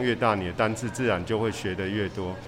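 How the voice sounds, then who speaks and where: Noticeable background noise and audible room echo accompany fairly quick speech. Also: man. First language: Mandarin. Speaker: podcast host teaching English. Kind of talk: bilingual interview.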